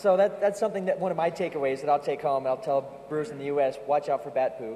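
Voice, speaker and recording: A man with a fairly high voice and an American accent talks at a very fast clip, with ordinary pitch variation over noticeable background noise. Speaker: yeast company tech support specialist, conference presenter. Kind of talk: conference presentation. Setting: stage with audience at a conference. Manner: casual, joking, with frequent um and uh fillers.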